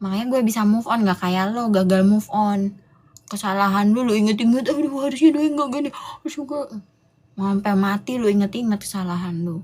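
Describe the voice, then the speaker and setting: A woman with a fairly high, somewhat breathy voice and an animated tone talks at a fairly quick pace with ordinary pitch variation on a very clean recording with a silent background. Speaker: livestream host. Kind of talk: casual livestream rant to viewers. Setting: live stream. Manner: animated, scolding.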